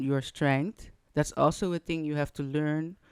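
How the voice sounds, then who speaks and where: In a very clean recording with a silent background and a dry, close sound with no echo, a woman with a Dutch accent speaks at a very deep, low pitch with ordinary pitch variation. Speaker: fashion designer and perfume brand co-founder. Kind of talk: casual chat. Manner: halting.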